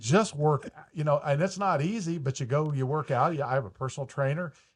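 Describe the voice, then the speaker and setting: Over a quiet background, a man speaks at a fairly quick pace in a somewhat breathy, fairly high voice with ordinary pitch variation. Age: 60s. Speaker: mortgage broker, podcast host. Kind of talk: casual chat.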